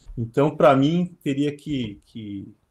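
Pitch variation is ordinary as a man in an ordinary speaking voice talks at a medium pitch. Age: 40s. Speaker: trading company CEO. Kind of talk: webinar conversation.

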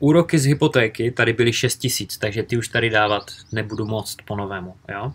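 Very fast male speech, somewhat breathy, with ordinary pitch variation. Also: medium pitch for a man. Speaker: real estate investment YouTuber. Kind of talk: live Q&A stream. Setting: livestream from home in a village.

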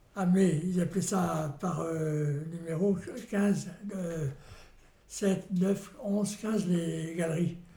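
In a room with audible echo, a man with a high-pitched voice and fairly even intonation speaks at a very slow pace, with long, frequent pauses. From Normandy, France. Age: 80s+. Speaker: retired miner. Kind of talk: interview testimony. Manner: halting.

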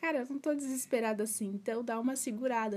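With a fairly high pitch, a woman talks using ordinary pitch variation. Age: 20s. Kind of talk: casual solo podcast talk. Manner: halting.

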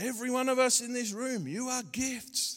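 A man with an Australian accent on a very clean recording against a silent background. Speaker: pastor. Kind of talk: sermon. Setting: church. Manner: animated.

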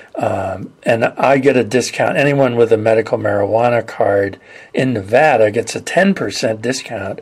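A man's medium-pitched voice moves at a moderate pace with ordinary pitch variation as noticeable background noise sits behind it. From California. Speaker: podcast host. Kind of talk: interview.

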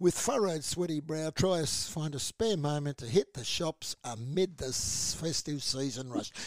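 A man with an Australian accent and a fairly high voice speaks with lively intonation, recorded very cleanly with a silent background and a dry, close sound with no echo. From Australia (Melbourne). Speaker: community radio host. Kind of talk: casual news discussion on radio. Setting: radio studio.

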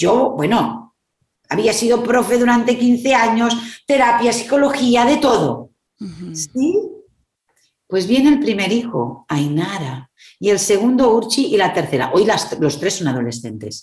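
The voice carries vocal fry and moves at a fairly slow pace with very wide pitch swings. There is audible room echo. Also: woman, fairly high pitch for a woman. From Spain. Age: 50s. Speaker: psychologist and therapist. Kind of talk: interview. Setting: video call.

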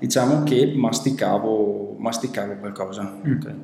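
With noticeable background noise and audible room echo, a man speaks very slowly at a medium pitch with ordinary pitch variation. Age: 30s. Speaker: founder of a web development company. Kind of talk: testimonial interview. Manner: halting, many fillers.

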